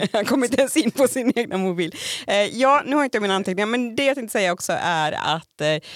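A woman talks at a fairly quick pace with lively intonation in a normal speaking voice. The sound is dry and close with no echo, and the recording is very clean with a silent background. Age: 30s. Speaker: podcast co-host. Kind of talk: casual chat.

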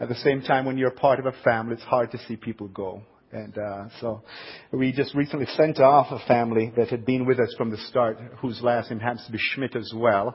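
The speaker has a Jamaican accent and a fairly quick pace. Intonation stays fairly even. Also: man, medium pitch for a man. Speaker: pastor. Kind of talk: sermon. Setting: church.

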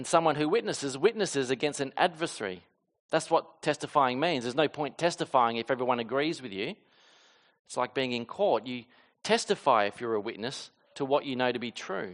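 A man speaks at a fairly quick pace in a medium pitch with an Australian accent. His intonation is lively, and the background is quiet. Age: 30s. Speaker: pastor. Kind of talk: sermon. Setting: church.

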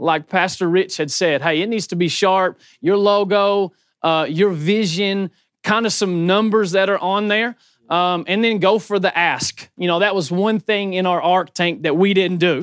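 In a high voice, a man speaks with fairly even intonation. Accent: Southern US. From Murray, Kentucky. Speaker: church planter and chicken farmer. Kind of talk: conference panel talk.

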